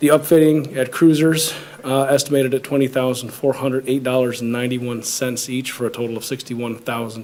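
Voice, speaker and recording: A man's very fast, flat monotone with hardly any pauses, over noticeable background noise. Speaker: police department official. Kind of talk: public meeting presentation. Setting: township board meeting. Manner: halting, many fillers.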